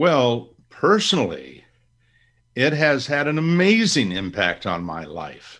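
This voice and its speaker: The voice moves at a very slow pace with very wide pitch swings. Its loudness swings in a big way too. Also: man, medium pitch for a man. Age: 70s. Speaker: author and investment educator. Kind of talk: interview.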